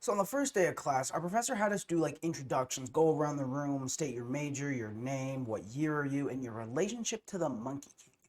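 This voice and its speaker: A man with an American accent talks in a normal speaking voice at a fairly high pitch and a fairly quick pace, with hardly any pauses. His intonation is lively, and his loudness swings widely. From US Midwest, Ohio. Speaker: college student, video creator. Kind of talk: comedic class-project vlog.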